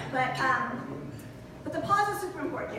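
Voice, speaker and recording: A woman projects a raised voice at a moderate pace, with audible room echo and noticeable background noise. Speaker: motivational speaker. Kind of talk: talk to a live audience. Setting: breakfast event with audience. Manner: interactive, addressing audience.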